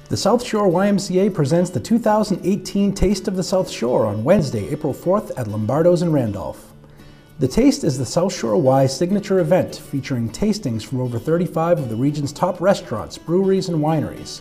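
Over music in the background, a man with a high pitch talks at a fairly quick pace with very wide pitch swings. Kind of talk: promotional event announcement, corporate narration.

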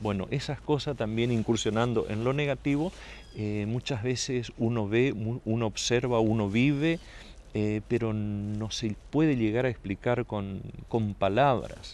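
A man speaks at a fairly slow pace with ordinary pitch variation. The sound is dry, with no echo. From Saladas, Corrientes, Argentina; Corrientes, Argentina. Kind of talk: interview. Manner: halting, many repetitions and fillers. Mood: calm, measured. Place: garden.

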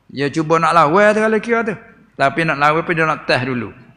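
A man speaks in an animated tone that is bright and sharp. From Thailand. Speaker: religious teacher. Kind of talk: religious lecture. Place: hall. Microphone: podium.

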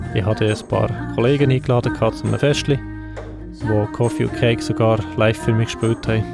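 Music plays in the background as a speaker with a Swiss accent talks at a fairly quick pace. The loudness stays very even. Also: man. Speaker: videographer, filmmaker. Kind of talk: casual vlog narration, year-in-review.

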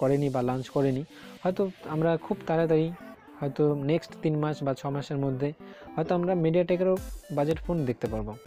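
A man's voice with ordinary pitch variation, dry with no echo, over faint background music. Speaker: tech channel host. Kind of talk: tech explainer talk to camera. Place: home room. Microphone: lapel.

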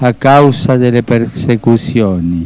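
A man at a very slow pace, dry sound with no echo. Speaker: pope. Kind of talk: Sunday Angelus address to a crowd, religious address. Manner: calm, solemn. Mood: calm, solemn. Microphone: podium.

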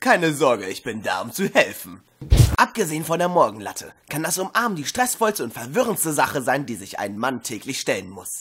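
A man's put-on character voice with big pitch swings, a fairly bright tone, a slightly husky edge, few pauses and a moderate pace. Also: medium pitch for a man.

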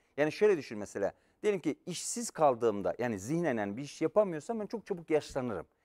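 Pitch swings very widely as a man talks fairly quickly. Nothing much can be heard behind him. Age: 50s. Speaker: professor. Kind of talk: lecture. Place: studio. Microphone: lapel.

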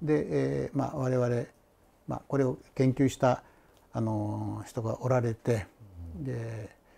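Somewhat breathy and dark, mellow in tone, the voice moves at a fairly slow pace with very wide pitch swings and long, frequent pauses. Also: man. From Shimane, Oda; Shimane. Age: 70s. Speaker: retired teacher. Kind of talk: interview. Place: home room. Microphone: lapel.

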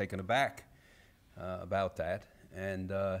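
A man with a fairly low-pitched voice. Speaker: event host introducing a guest. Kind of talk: formal introduction speech. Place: hall. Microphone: podium.

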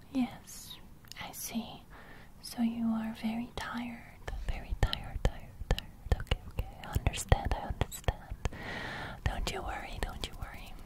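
A soft-spoken woman whispering at a moderate pace, soothing in tone, with long, frequent pauses and loud background noise. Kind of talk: soft-spoken ASMR roleplay. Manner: soothing soft whisper into mic. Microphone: studio mic.

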